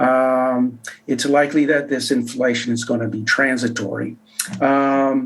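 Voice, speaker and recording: A man's flat, monotone speech at a fairly slow pace, with noticeable background noise. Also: medium pitch for a man. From Canada. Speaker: economist. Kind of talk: interview.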